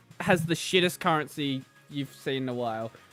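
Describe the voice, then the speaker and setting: Over music in the background, a man with an Australian accent speaks at a fairly high pitch. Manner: toned-down, cleaned-up accent.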